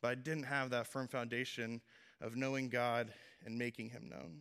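This man talks at a moderate pace in a medium pitch. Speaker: young preacher at a men's ministry series. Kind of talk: sermon. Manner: casual and halting, many fillers.

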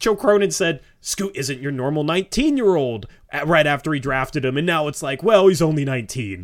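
Speaking at a fairly quick pace with hardly any pauses, a man with an ordinary speaking voice uses lively intonation at a fairly high pitch in a very clean recording against a silent background. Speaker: podcast co-host. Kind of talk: casual sports talk podcast.

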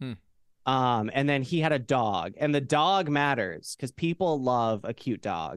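A man with an American accent has a normal speaking voice at medium pitch. He talks at a fairly slow pace with lively intonation. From Idaho, US. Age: 20s. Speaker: musician and streamer. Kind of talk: casual chat.

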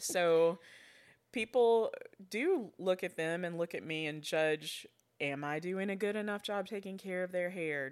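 The recording is very clean, with a silent background. A woman with an Alabama accent speaks at a fairly slow pace, at a medium pitch with ordinary pitch variation. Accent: Southern US (Alabama). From rural Alabama. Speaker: foster and adoptive mother. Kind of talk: casual interview.

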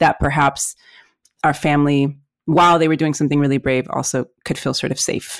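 A woman with a Spanish accent speaks at a fairly quick pace in a very deep, low voice. The recording is very clean, with a silent background. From Mexico City. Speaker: entrepreneur and podcast host. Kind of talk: casual chat. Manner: warm, enthusiastic.

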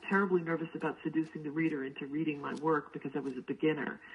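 Amid noticeable background noise, a woman with a fairly low pitch and ordinary pitch variation talks at a very fast pace. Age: 50s. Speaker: graphic memoir author. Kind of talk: interview.

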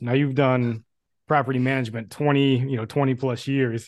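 Here is a plain, everyday voice from a man at a medium pitch. He keeps a moderate pace with fairly even intonation. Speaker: podcast host. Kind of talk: interview intro and chat.

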